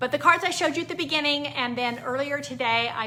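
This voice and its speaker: A woman with lively intonation, heard with audible room echo. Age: 60s. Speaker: card-making craft instructor. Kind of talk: live-stream craft tutorial sign-off. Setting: Facebook Live stream. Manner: casual, many filler words.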